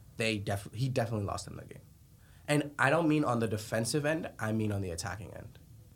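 A man's somewhat breathy voice at a very fast pace. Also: medium pitch for a man, ordinary pitch variation. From Colombia. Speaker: soccer podcast co-host. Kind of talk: casual sports chat.

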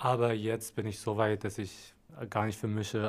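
A man speaks with an Arabic accent at a fairly low pitch. The recording is very clean, with a silent background. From Syria, Damascus. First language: Arabic (speaking German). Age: 20s. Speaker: media design trainee. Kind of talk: interview.

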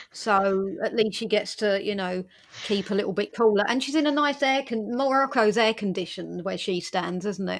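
Speaking in an English accent, a woman of medium pitch keeps a moderate pace and ordinary pitch variation. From England. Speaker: podcast host. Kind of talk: casual chat.

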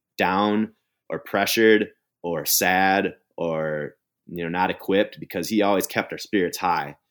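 This man speaks with an American accent at a moderate pace, his very deep, low pitch moving with ordinary variation. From Minnesota. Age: 40s. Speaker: bike polo player. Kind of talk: interview. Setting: remote call.

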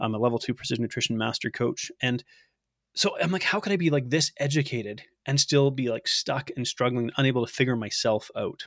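An ordinary speaking voice from a man at medium pitch, fairly quick, with ordinary pitch variation and a dry, close sound with no echo. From Canada. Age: 30s. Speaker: nutrition coach. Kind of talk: interview conversation.

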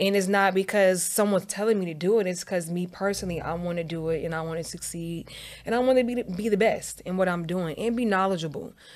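With an American accent, a woman speaks at a medium pitch and a very fast pace, with ordinary pitch variation and hardly any pauses. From Northern Virginia, DMV area (Dumfries). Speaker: entrepreneur and real estate agent. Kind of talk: casual interview.

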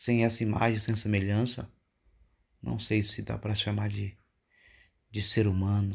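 The voice is somewhat breathy, with flat, monotone intonation and long, frequent pauses. It moves at a fairly slow pace against a quiet background. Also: man, fairly low pitch for a man. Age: 40s. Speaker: preacher. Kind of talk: sermon. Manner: halting.

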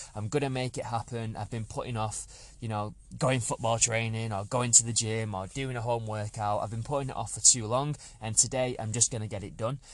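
With an English accent, a man speaks at a fairly quick pace and fairly even intonation. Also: medium pitch for a man. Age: 30s. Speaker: fitness podcast host, personal trainer. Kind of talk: solo podcast monologue. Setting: parked outside a supermarket.

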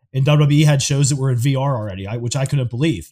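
A very fast, somewhat breathy male voice of medium pitch and dark, mellow tone, on a very clean recording with a silent background. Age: 40s. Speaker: podcast co-host. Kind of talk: casual chat. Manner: animated.

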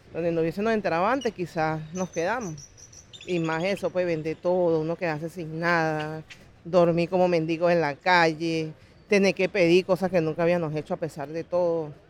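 A woman with a plain, everyday voice talks at a moderate pace, her fairly low pitch carrying fairly even intonation. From Venezuela. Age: 40s. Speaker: migrant. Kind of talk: interview testimony.

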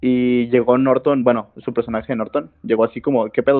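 Music plays behind a man talking at a fairly quick pace. His medium pitch carries fairly even intonation. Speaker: podcast co-host. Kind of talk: casual chat.

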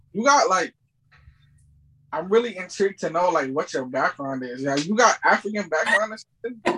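Raising and projecting his high voice, a man speaks at a moderate pace with very wide pitch swings. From South Africa. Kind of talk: casual chat.

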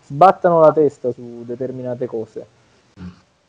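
Here is a man with a normal speaking voice and lively intonation. He keeps a moderate pace. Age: 30s. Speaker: bodybuilding champion and coach. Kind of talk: interview conversation.

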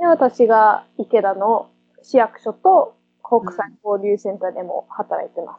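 Speaking at a fairly slow pace, a woman uses a fairly high pitch, lively intonation and big swings in loudness. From Perth, Western Australia. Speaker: municipal translator and interpreter. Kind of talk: casual interview. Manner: halting.

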